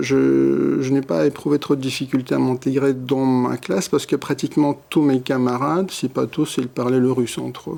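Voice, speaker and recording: A man's moderate pace comes through noticeable background noise. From Ukraine. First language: Russian (speaking French). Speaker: psychoanalyst. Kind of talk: interview. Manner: halting.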